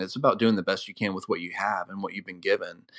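A man speaks against a quiet background. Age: 30s. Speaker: church creative director. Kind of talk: interview. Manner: hesitant, many fillers.

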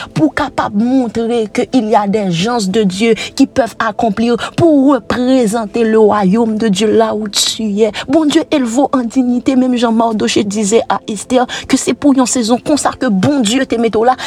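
A voice with a Haitian accent, music in the background. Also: woman, fairly high pitch for a woman, ordinary pitch variation, fairly slow pace. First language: Haitian Creole (speaking French). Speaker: preacher. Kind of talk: sermon.

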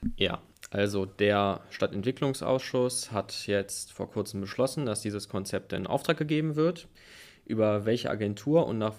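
A man with an unremarkable speaking voice talks at a fairly low pitch. His pace is moderate and his pitch variation ordinary. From Hilden, Rhineland, Germany. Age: 20s. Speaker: student and party youth activist. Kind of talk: panel discussion.

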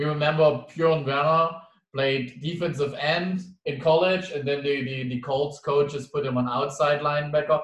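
A man with a German accent and a fairly high pitch, at a moderate pace with fairly even intonation. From Germany. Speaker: interviewer. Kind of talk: casual interview.

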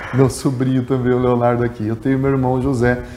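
Noticeable background noise accompanies a man whose voice is medium in pitch. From Rio Grande do Sul, Brazil (grew up in Capinzal, Santa Catarina). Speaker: journalist and former radio sports narrator. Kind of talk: podcast interview.

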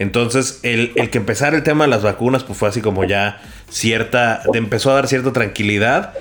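A man's moderately paced speech shows ordinary pitch variation, with noticeable background noise behind it. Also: medium pitch for a man. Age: 30s. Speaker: podcast producer. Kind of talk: casual chat. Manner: halting.

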